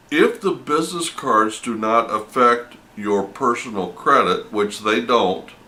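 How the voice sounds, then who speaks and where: A man speaks at a medium pitch and a fairly slow pace. Noticeable background noise is present. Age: 60s. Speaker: vending business vlogger. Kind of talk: casual monologue. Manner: halting, with self-corrections.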